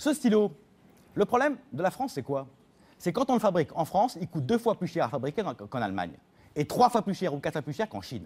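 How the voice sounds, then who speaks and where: A man speaks very fast in a high voice, with very wide pitch swings. Long, frequent pauses come often. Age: young. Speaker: politician, former minister. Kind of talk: televised debate. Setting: TV studio. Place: studio. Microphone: lapel.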